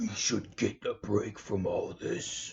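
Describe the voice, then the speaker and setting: Putting on a raspy character voice, a man performs. His delivery is fairly slow. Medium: read story. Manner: formal, measured.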